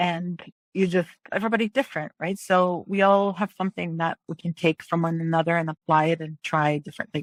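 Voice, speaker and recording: Dry and close with no echo, a woman's fairly low voice moves at a fairly quick pace with fairly even intonation, a normal speaking voice. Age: 50s. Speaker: realtor. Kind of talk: podcast interview answer.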